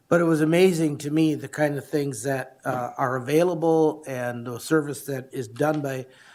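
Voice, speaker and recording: In an unremarkable speaking voice, a man with fairly high pitch and fairly even intonation talks at a moderate pace with hardly any pauses. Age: 60s. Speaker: county commissioner. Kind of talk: public meeting discussion. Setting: county board meeting.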